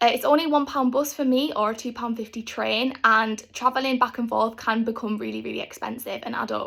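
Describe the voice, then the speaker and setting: A woman with a North East England accent talks at a fairly quick pace with hardly any pauses, her fairly high voice carrying vocal fry and fairly even intonation. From North East England, Stockton. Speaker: university student. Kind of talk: scripted talk to camera.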